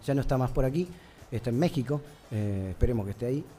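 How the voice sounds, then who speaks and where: This is a man speaking. His pitch moves with ordinary variation. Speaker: singer-songwriter. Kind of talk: interview. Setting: recorded in a bar.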